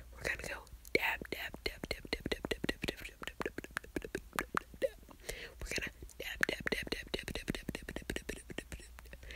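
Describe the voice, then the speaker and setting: A soft-spoken woman talks at a moderate pace. The sound is dry with no echo, and loud background noise surrounds her. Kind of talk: soft ASMR-style roleplay chat. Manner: soft ASMR murmur, repeated trigger words. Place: home room. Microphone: phone near.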